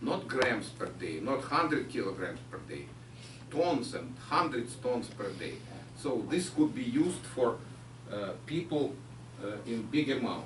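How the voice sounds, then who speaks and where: A man with a Ukrainian accent speaks at a fairly slow pace, his medium pitch showing ordinary variation. Noticeable background noise and audible room echo are present. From Ukraine. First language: Ukrainian or Russian. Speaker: chemistry researcher. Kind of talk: lecture. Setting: pub with audience.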